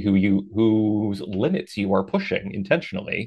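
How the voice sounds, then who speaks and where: A man's fairly low pitch with fairly even intonation. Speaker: adult performer. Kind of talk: casual interview conversation.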